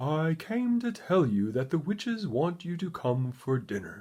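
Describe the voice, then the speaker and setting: In a very clean recording with a silent background, a man uses a put-on character voice with very wide pitch swings at a moderate pace. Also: fairly high pitch for a man. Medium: read story.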